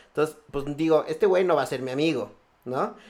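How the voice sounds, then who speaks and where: A man talks in a normal speaking voice at a fairly high pitch. His pitch variation is ordinary. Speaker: podcast host. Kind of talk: casual chat.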